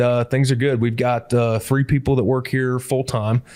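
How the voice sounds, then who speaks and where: A man with an American accent speaks at medium pitch and a moderate pace, in a monotone, flat intonation. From US Midwest, Hancock County, Illinois. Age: 40s. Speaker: wildlife artist. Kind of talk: casual chat.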